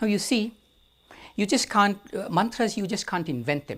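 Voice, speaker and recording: A man with an Indian accent at a moderate pace. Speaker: storyteller. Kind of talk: storytelling.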